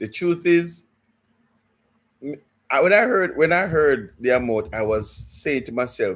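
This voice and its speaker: A man with a Jamaican accent and very wide pitch swings. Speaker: football fan livestreamer. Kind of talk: live stream chat. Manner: halting, repeats words.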